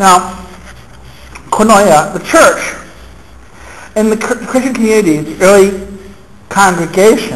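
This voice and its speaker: Noticeable background noise sits behind a man with a high pitch and ordinary pitch variation. He leaves long, frequent pauses. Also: fairly slow pace. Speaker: university lecturer. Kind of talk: seminar lecture. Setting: classroom. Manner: stuttering.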